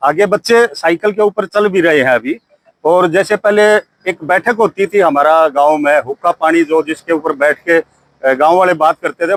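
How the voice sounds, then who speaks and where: A man with a high pitch and ordinary pitch variation speaks at very even loudness, in a dry, close sound with no echo. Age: 60s. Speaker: army veteran. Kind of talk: interview.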